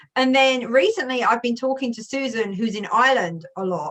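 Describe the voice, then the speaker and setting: The tone is bright and sharp, delivered at a fairly quick pace with an English accent. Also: woman. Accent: English accent, heavier with family. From England. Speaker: youtuber. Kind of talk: casual chat. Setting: video call.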